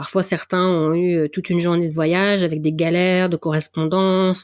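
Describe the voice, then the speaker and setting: In a northern French accent, a woman speaks at a moderate pace with a fairly low pitch. The sound is dry and close, with no echo. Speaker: athletics event volunteer and podcaster. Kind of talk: interview. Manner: casual, many hesitations.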